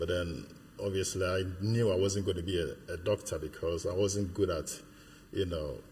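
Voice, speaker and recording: This man's very deep, low voice is somewhat breathy. He keeps a moderate pace with fairly even intonation. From Ghana. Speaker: church member. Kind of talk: interview. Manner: halting.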